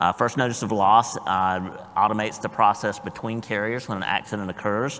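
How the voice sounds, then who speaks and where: With a Southern US accent, a man talks at a moderate pace using fairly even intonation. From US South. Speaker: blockchain industry panelist. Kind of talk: panel discussion.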